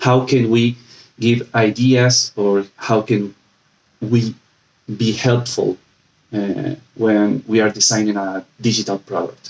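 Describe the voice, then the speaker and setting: A man at a very slow pace, his intonation fairly even, with long and frequent pauses. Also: medium pitch for a man. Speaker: UX design lead giving a talk. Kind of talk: presentation. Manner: halting, many fillers.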